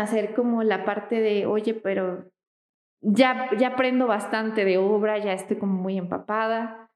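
A woman's fairly high voice is heard with audible room echo. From Mexico, Michoacán. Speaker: architect. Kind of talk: casual interview.

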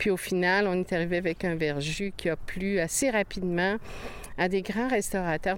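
Delivery comes at a moderate pace. The intonation is fairly even. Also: woman. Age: 60s. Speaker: farmer. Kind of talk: interview.

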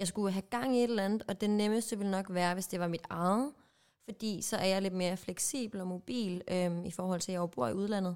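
Here is a woman with an unremarkable speaking voice at a medium pitch. She talks at a fairly quick pace with ordinary pitch variation. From Jutland, Denmark. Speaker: podcast co-host. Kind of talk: casual chat.

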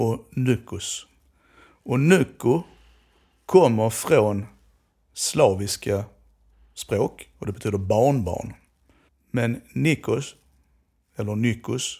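Over a silent background on a very clean recording, a man speaks at a very slow pace in a medium, somewhat breathy voice with ordinary pitch variation and long, frequent pauses. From southern Sweden, Skåne. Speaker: Romani language researcher. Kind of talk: educational conversation.

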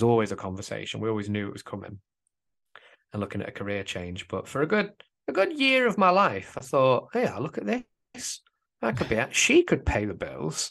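The man talks at a fairly quick pace over a quiet background. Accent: English. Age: 20s. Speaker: father, works with teenagers. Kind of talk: casual chat.

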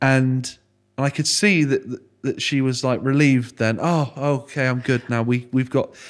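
On a very clean recording with a silent background, a man in a West Country accent speaks at a medium pitch with fairly even intonation. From Froome, Somerset, England. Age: 20s. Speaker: podcast host. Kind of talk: casual interview chat.

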